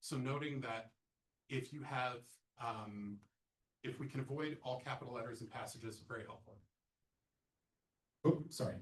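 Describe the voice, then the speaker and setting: Somewhat breathy, a man speaks at a moderate pace and medium pitch with fairly even intonation, leaving long, frequent pauses. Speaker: accessibility trainer. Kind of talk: lecture. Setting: presentation room with audience and Zoom. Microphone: sound issues for Zoom listeners.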